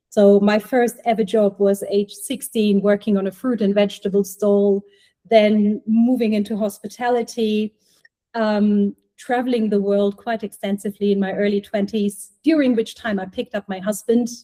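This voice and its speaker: With a German accent, a woman talks at a moderate pace in a medium pitch, her dark, mellow voice held to a monotone, flat intonation. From Germany. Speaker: healthtech startup co-founder, former clinician. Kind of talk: podcast interview.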